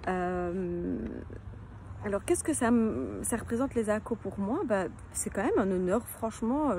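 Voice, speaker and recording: A woman with a slight Belgian accent, at a fairly slow pace. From Belgium, near Liège. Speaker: children's book illustrator and author. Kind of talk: casual self-presentation to camera. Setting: outdoors in her garden. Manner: hesitant, many fillers.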